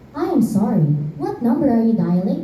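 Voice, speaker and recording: Using a put-on character voice, a woman speaks at a fairly high pitch and fairly quick pace, with slight echo. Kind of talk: school play acting. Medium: stage play. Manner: formulaic, polite.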